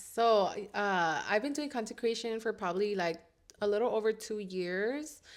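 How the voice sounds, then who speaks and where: A woman speaks in a plain, everyday voice, pitched fairly high. Her pitch varies in an ordinary way. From Southeast Los Angeles. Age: 20s. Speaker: content creator and coffee cart owner. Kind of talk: casual chat.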